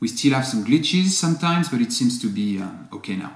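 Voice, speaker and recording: This man's intonation is lively. He talks with a non-native accent. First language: not English. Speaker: company founder. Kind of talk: video update to customers. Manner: apologetic, earnest.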